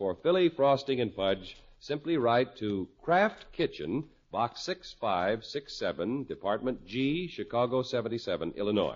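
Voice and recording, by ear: With big pitch swings and a slightly husky edge, a man talks at medium pitch.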